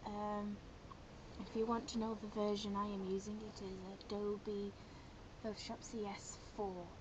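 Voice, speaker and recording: Quiet speech comes at a fairly slow pace in a monotone, flat intonation, broken by long, frequent pauses. Noticeable background noise can be heard. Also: woman, medium pitch for a woman. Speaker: software tutorial maker. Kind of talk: screen-recorded software tutorial. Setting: low-quality home microphone.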